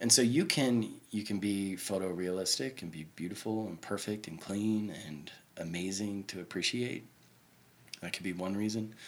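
A man with an American accent and a plain, everyday voice, fairly low in pitch, with ordinary pitch variation and a moderate pace. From Oklahoma City. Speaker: graffiti and mural artist. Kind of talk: casual interview. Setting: artist's home.

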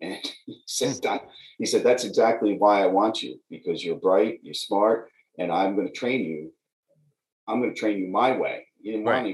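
A man with an American accent talks at a moderate pace. His loudness swings widely, and he leaves long, frequent pauses. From New York (Croton-on-Hudson, Westchester). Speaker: attorney general candidate, lawyer. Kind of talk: interview.

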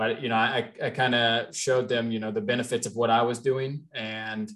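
Speaking in a monotone, flat way, this man has a medium pitch and an American accent. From US Midwest, Cincinnati, Ohio. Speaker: multifamily real estate investor. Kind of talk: podcast interview.

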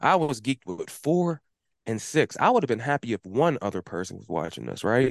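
A man at a medium pitch talks at a fairly quick pace, with very wide pitch swings, big swings in loudness and vocal fry. The sound is dry and close with no echo, over a quiet background. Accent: American. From Pittsburgh, Pennsylvania. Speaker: lawn care business owner and podcaster. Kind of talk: casual interview chat.

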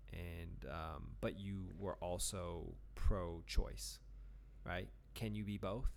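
Speaking at a very slow pace, a man with a very deep, low pitch uses lively intonation and vocal fry. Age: 30s. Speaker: poet and podcast co-host. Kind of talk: casual chat. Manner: animated.

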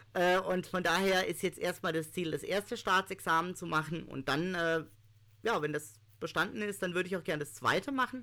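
This man's high voice has a bright, sharp tone and ordinary pitch variation, and he speaks at a moderate pace in a very clean recording with a silent background. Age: 30s. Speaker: law student with visual impairment. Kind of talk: interview.

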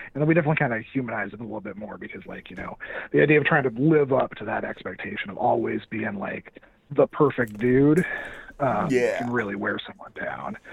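A man with an ordinary speaking voice, medium pitch, lively intonation and a moderate pace. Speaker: audio drama podcast host, interview guest.

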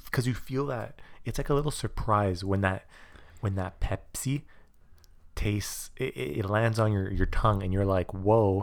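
On a very clean recording with a silent background, a man with a plain, everyday voice speaks at a fairly slow pace in a fairly low pitch with lively intonation. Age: young. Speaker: podcast co-host. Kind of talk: casual chat.

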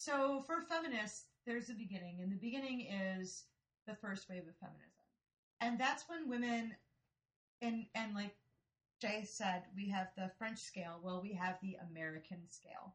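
With long, frequent pauses, a woman speaks in a medium pitch that is somewhat breathy and lively in intonation. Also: moderate pace. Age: 40s. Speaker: podcast co-host. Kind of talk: casual chat. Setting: studio.

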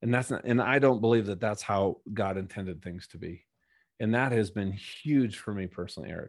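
A man talks at a fairly quick pace with an American accent. His pitch variation is ordinary. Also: fairly low pitch for a man. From Minnesota. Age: 50s. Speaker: keynote speaker and former Navy fighter pilot. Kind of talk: interview testimony.

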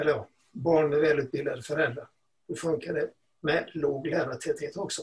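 Somewhat breathy and fairly high-pitched, a man talks with fairly even intonation. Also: moderate pace. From Sweden, Gothenburg. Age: old. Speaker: retired teacher and education journalist. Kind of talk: podcast interview.

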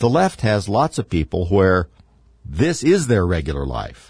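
A man's fairly low-pitched voice with vocal fry and very wide pitch swings, at a fairly slow pace, in a dry, close sound with no echo over a quiet background. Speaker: radio host. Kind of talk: political talk radio monologue. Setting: radio studio broadcast.

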